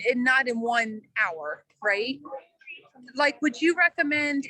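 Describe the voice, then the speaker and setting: A woman projects her voice at a high pitch with ordinary pitch variation. The sound is dry and close, with no echo. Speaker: workshop participant. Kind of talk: casual question. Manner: loud.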